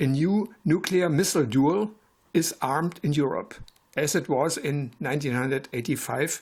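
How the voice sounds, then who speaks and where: Somewhat breathy and fairly high-pitched, a man with a German accent speaks at a moderate pace with ordinary pitch variation. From Germany, West Berlin. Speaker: retired physics professor. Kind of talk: prepared presentation. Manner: formal.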